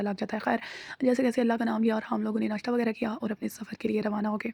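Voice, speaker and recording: Her tone is dark and mellow, with vocal fry. This woman speaks in a monotone, flat intonation. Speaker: vlogger. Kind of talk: vlog voice-over narration. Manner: casual, with fillers.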